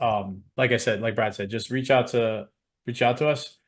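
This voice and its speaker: A man with a New York accent, medium-pitched and fairly quick, against a quiet background. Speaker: program co-host. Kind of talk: webinar sales pitch.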